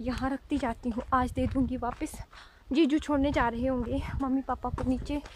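A woman's high-pitched voice at a fairly slow pace, dry with no echo, with light background noise. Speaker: village vlogger. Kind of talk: casual vlog chat. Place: open country. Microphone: phone near.

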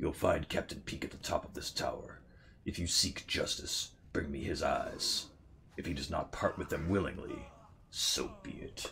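Against clear background noise, a man puts on a character voice at a moderate pace. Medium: game stream. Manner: bitter, vengeful.

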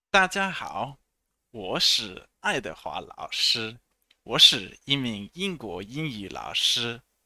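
Very slowly, a man speaks in a bright, sharp tone with vocal fry and very wide pitch swings, the sound dry with no echo. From England, Hertfordshire near St Albans and Watford; England. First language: English (speaking Chinese). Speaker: English teacher. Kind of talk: self-introduction video. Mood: friendly, smiling. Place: home room. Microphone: headset.

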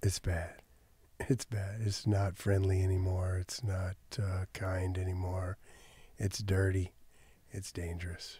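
A soft-spoken man with a very deep, low pitch and a dark, mellow, somewhat breathy tone speaks at a fairly slow pace in a monotone, flat intonation, with long, frequent pauses. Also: dry sound with no echo. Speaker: podcast guest. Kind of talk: interview answer. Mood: disapproving, somber. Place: studio. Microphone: studio mic.

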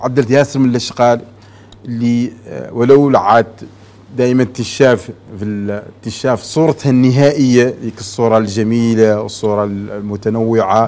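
Here a man is speaking. His pace is moderate and his intonation fairly even. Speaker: talk show guest. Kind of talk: interview answer. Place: studio. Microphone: lapel.

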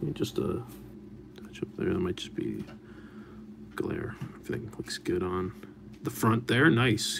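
Through noticeable background noise, a man talks with long, frequent pauses. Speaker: card break host. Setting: live stream, online video. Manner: casual, friendly, with frequent filler 'uh' and 'um'. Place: studio.

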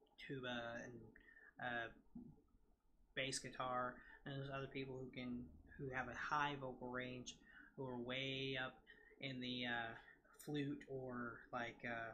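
A nasal male voice with a bright, sharp tone, little pitch movement, a fairly slow pace, long, frequent pauses and audible room echo

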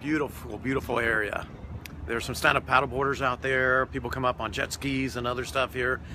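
There is noticeable background noise as a man talks at a fairly quick pace, and the sound is dry with no echo. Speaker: travel vlogger. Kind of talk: casual vlog chat. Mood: relaxed, content after meal. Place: waterside. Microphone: phone near.

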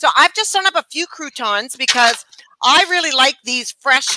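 Over noticeable background noise, a woman speaks in a raised, projected voice. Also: dry sound with no echo. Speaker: cooking show co-host. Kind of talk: casual cooking tutorial chat. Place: kitchen.

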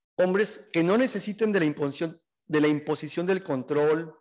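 A man speaks at a very slow pace with a high voice. The background is quiet. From Mexico. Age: 50s. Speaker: gender equality activist and sociologist; speaker. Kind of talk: talk to a seminar audience; lecture. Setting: event hall with audience. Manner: hesitant, many fillers. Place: classroom. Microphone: podium.

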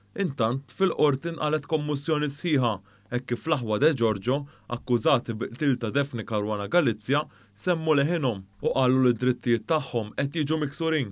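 A man's unremarkable speaking voice, fairly high in pitch, moderate pace, ordinary pitch variation, quiet background. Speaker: news presenter. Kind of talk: news reading. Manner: formal.

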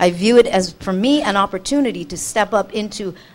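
There is an ordinary speaking voice here with lively intonation. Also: woman. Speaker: spiritual teacher. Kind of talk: panel talk. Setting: stage with audience.

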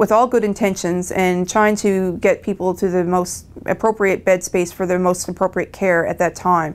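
With hardly any pauses, the speaker keeps a moderate pace in a Newfoundland accent. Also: woman. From rural Newfoundland. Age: young. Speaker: emergency physician. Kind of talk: interview.

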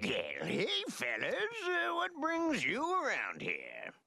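Someone speaks very slowly in a cartoonish character voice. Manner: folksy, friendly.

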